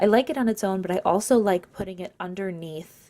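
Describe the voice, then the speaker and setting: A woman at a fairly quick pace, medium in pitch with ordinary pitch variation. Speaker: beauty vlogger. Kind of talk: casual makeup tutorial. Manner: casual, filler-heavy; fast.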